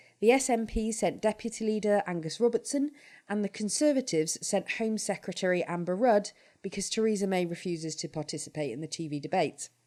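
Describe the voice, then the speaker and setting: A woman with a British accent, medium in pitch with a dark, mellow tone, lively intonation and a fairly quick pace, on a very clean recording with a silent background. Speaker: podcast host. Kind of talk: podcast discussion.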